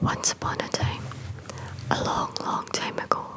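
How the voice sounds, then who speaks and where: The voice is whispering, very slowly. Noticeable noise sits in the background. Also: woman. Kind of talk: whispered ASMR storytime reading. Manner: whispered.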